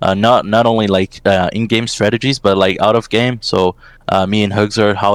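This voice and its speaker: A man's fairly low voice carries fairly even intonation in a dry, close sound with no echo. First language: Portuguese. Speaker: esports assistant coach. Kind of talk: interview. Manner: halting, many fillers.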